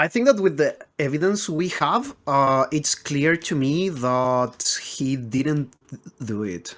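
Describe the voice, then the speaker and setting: The pace is very slow. It carries a non-native accent. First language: not English. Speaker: Minecraft speedrunner co-host. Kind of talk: casual chat.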